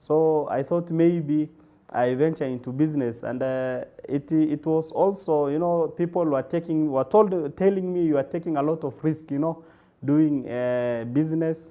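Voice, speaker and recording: This man, with a Kenyan accent, has a fairly high pitch, a dark, mellow tone and fairly even intonation. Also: moderate pace. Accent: Kenyan (Somali-Kenyan) English. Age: 20s. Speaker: radiographer and medical supplies entrepreneur. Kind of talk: interview. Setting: TV studio, live broadcast. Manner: halting, many fillers.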